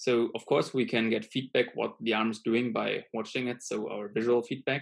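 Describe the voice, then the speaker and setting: Talking with a non-native accent, a man keeps to a moderate pace. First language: not English. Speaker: student lecturer. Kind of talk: lecture. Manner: hesitant, many fillers.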